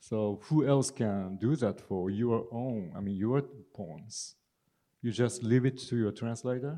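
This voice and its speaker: At a fairly slow pace, a man with a Japanese accent speaks in a dark, mellow tone at a medium pitch, with ordinary pitch variation. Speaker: poet, translator and literature professor. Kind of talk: panel discussion and poetry reading. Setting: stage with audience.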